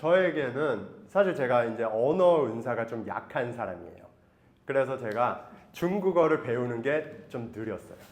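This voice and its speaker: A normal speaking voice from a man, medium in pitch, at a fairly slow pace, with lively intonation and big swings in loudness. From Taiwan, raised by Korean missionary parents. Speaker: missionary. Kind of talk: testimony.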